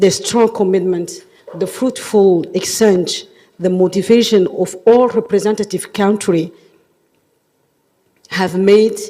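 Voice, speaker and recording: A woman with a French accent talks at a very slow pace in a medium pitch. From Djibouti. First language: not English; French among her languages. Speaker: government official, workshop chair. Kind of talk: formal closing speech. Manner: formal.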